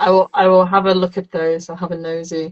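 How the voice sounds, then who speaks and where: This woman has an English Midlands accent. She talks at a fairly quick pace. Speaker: metal band member. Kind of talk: interview. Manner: fast; animated.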